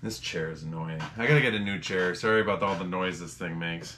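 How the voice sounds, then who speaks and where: Over noticeable background noise, a man speaks at a fairly quick pace. His pitch is very deep and low, with lively intonation. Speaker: reseller. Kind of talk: casual vlog chat. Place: home room. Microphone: camera far.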